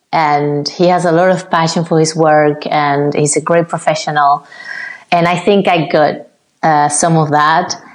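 Delivery is fairly slow in a Spanish accent, with monotone, flat intonation. Loudness stays very even throughout. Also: woman, very deep, low pitch for a woman. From Cuba. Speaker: ballet dancer. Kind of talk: interview. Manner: halting.

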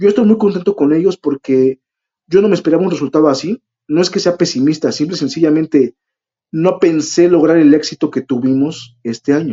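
Speaking at a fairly quick pace with a Mexican accent, a man uses a fairly high pitch and ordinary pitch variation. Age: 30s. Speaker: event organizer. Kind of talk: interview.

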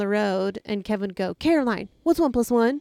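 A woman with a normal speaking voice, fairly high pitch and lively intonation at a moderate pace, on a very clean recording with a silent background. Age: 30s. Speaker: overlanding content creator. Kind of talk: casual chat. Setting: outdoors.

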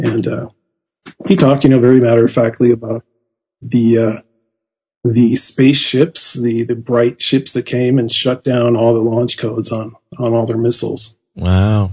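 Somewhat breathy and dark, mellow in tone, a man's medium-pitched voice moves at a moderate pace with fairly even intonation. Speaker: author. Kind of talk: interview.

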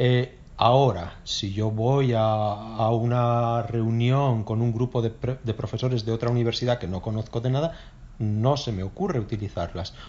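This man talks at a fairly slow pace, his medium pitch carried by fairly even intonation. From northern Spain, Oviedo (Asturias). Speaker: Spanish teacher. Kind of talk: casual chat.

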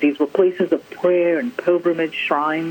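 Set against noticeable background noise, the speech runs at a fairly quick pace. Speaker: art scholar. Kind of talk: interview. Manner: measured, articulate.

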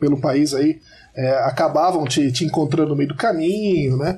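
Somewhat breathy male voice, fairly high in pitch, dark and mellow in tone, with ordinary pitch variation. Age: 40s. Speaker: podcast listener and supporter. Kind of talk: casual chat.

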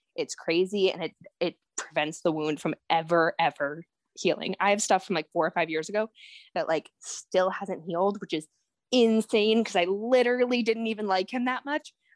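In an unremarkable speaking voice, a woman talks at a moderate pace, the sound dry and close with no echo. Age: 20s. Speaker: spoken word poet and author. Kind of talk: casual interview.

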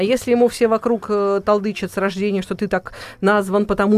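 This woman's voice sits at a medium pitch. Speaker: editor. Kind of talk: casual studio discussion. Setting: studio.

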